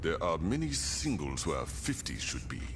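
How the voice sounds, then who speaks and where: A man performs a put-on character voice. Loud background noise fills the recording. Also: moderate pace. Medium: video game. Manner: calm, measured, formal.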